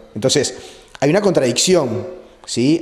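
A man talks at a moderate pace. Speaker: priest interviewed. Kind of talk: interview answer. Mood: earnest, explanatory. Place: home room.

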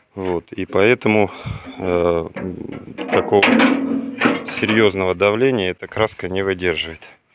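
Loud background noise sits under a dry sound with no echo. The pace is very slow. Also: man, fairly low pitch for a man. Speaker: vintage tractor enthusiast vlogger; owner showing tractor. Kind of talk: casual video walkthrough. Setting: outdoors, plane flying overhead at one point. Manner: unhurried, many filler words. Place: garden. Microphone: phone near.

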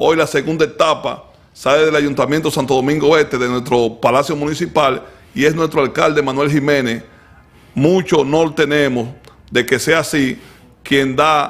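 In a normal speaking voice, a man talks at a moderate pace with a fairly high pitch. His intonation is fairly even and his loudness very even. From Dominican Republic. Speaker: sports show host. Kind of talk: casual chat. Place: studio. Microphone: studio mic.

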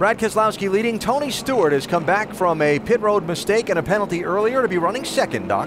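With hardly any pauses, a man speaks very fast in an animated tone at a high pitch, his loudness very even, the sound dry with no echo and the background noise noticeable. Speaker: race broadcast lead announcer. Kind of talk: live race commentary. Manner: animated, brisk play-by-play delivery.

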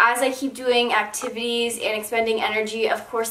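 Audible room echo surrounds a woman speaking at a fairly quick pace with monotone, flat intonation. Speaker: lifestyle vlogger. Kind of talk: casual vlog chat. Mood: calm, explaining disclaimer. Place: home room.

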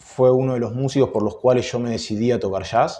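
The speaker has a Rioplatense accent and fairly even intonation. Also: man. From Argentina, Buenos Aires. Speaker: jazz guitarist; interviewee. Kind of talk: interview. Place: office.

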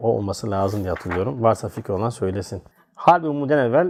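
At a very fast pace, a man is talking. His pitch is medium. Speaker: religious teacher. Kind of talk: religious text study lesson. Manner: halting when reading archaic text.

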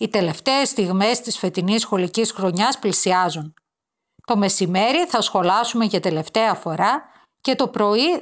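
A woman's ordinary speaking voice, medium-pitched, at a fairly slow pace with lively intonation. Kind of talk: literary audiobook reading of a children's school story, read aloud. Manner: gentle, warm, wistful storytelling pace with soft emotion.

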